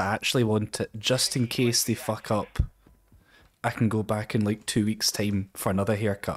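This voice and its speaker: A man with a Scottish accent at medium pitch, moderate pace and very even loudness. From Scotland. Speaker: Twitch streamer. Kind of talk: casual talk while gaming on stream.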